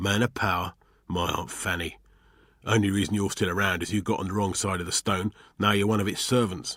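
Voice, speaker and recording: A man in a raspy, put-on character voice, fairly low-pitched, at a fairly quick pace, in a very clean recording with a silent background. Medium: read story. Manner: gruff, colloquial.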